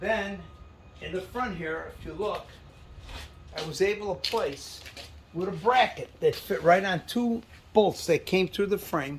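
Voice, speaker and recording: A man with a high pitch speaks at a fairly slow pace, leaving long, frequent pauses. His pitch varies in an ordinary way over noticeable background noise. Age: 70s. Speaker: car owner and enthusiast. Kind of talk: casual show-and-tell walkaround.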